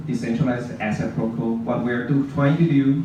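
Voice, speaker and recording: The voice carries a Mandarin accent and lively intonation. Noticeable background noise and audible room echo surround it. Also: man. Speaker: blockchain project presenter. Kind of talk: conference presentation. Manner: halting, with frequent fillers.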